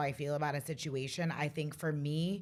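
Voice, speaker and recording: A woman with a very deep, low pitch. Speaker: finance professional. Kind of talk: casual chat. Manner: loud.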